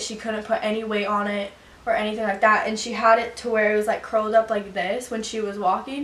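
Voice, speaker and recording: A woman's fairly high, fairly quick voice with fairly even intonation, audible room echo and noticeable background noise. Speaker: vlogger. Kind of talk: storytime vlog. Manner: fast.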